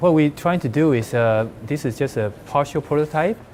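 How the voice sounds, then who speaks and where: A man speaks with a Chinese accent. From China. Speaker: hackathon team member presenting a demo. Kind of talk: product demo pitch. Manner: halting.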